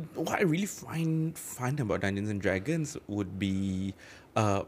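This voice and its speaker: A man's very slow speech with very wide pitch swings. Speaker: podcast host and dungeon master. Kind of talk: casual chat.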